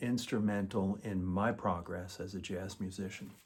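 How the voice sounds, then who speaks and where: A normal speaking voice at a fairly slow pace. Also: man. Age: 60s. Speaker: guitarist, music student. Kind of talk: testimonial. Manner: formal.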